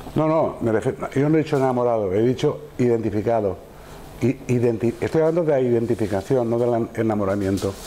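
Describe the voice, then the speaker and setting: The speech moves at a fairly quick pace with ordinary pitch variation and very even loudness. Light background noise is present. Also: man. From Spain. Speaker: psychiatrist lecturer. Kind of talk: lecture. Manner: halting. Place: classroom. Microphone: lapel.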